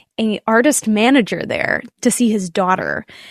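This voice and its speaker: Speaking with an American accent at a fairly slow pace, a woman uses a medium pitch and ordinary pitch variation in a plain, everyday voice, the sound dry and close with no echo against a quiet background. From Nashville, Tennessee, US South. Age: 20s. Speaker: singer-songwriter. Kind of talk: casual interview chat.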